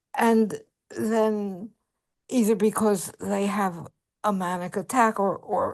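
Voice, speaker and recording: Over a quiet background, a woman of medium pitch talks at a very slow pace. Her intonation is fairly even. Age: 80s+. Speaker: webinar participant. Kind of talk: audience question.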